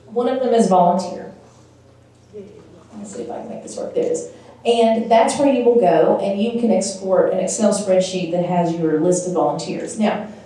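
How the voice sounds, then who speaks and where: The voice moves at a moderate pace with ordinary pitch variation and big swings in loudness, heard through audible room echo and noticeable background noise. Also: woman, medium pitch for a woman. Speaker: nonprofit workshop presenter. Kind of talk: workshop presentation.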